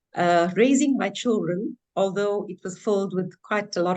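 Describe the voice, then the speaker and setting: Against a quiet background, a woman speaks at a moderate pace in a plain, everyday voice, medium in pitch with ordinary variation. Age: 60s. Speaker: businesswoman, former law lecturer. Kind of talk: webinar self-introduction.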